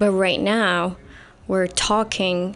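A woman speaks with an Arabic accent at medium pitch. Her intonation is monotone and flat. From Saudi Arabia. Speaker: writer. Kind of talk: interview.

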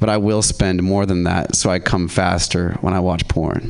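Noticeable background noise fills the recording. A man talks at a moderate pace. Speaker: comedian. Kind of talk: stand-up. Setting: stage with audience.

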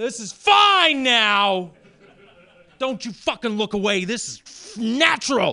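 A man's raised, projected voice, high in pitch with a bright, sharp tone, very slow, with ordinary pitch variation and big swings in loudness. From Maine, rural farm. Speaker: stand-up comedian. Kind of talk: stand-up.

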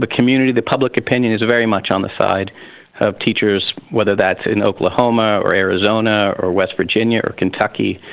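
Over noticeable background noise, a man with an American accent talks at a very fast pace, his fairly low pitch held in fairly even intonation. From US, Pennsylvania. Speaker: union leader. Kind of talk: interview.

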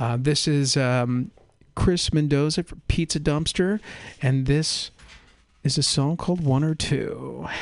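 A normal speaking voice at a fairly slow pace with ordinary pitch variation. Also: man, fairly high pitch for a man. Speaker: radio host. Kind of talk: casual chat. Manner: casual, rambling with many fillers.

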